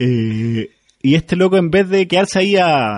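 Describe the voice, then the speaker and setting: Lively in intonation and moderate in pace, a man talks in an unremarkable speaking voice. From Chile. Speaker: podcast host. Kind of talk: casual chat.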